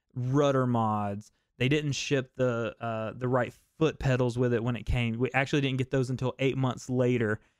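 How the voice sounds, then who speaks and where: A man with an American accent talks at medium pitch with ordinary pitch variation. He has an unremarkable speaking voice, and the background is quiet. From US South. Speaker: fishing content creator and talk show host. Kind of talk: casual live-stream chat.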